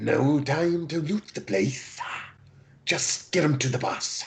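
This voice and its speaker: Using a put-on character voice, the speaker holds a low-to-middle pitch at a fairly slow pace. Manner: curt, businesslike.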